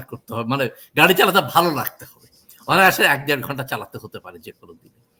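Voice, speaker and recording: The man speaks in a bright, sharp tone. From Bangladesh. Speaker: court interpreter. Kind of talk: interview.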